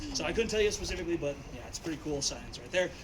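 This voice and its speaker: A man's high-pitched voice with ordinary pitch variation and noticeable background noise. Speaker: wildlife center tour guide. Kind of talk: guided tour talk. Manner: loud.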